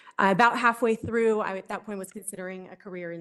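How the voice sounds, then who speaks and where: Her intonation remains fairly even as this woman talks. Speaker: emergency physician, expert witness. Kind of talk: court testimony. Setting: courtroom. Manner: fast; quiet.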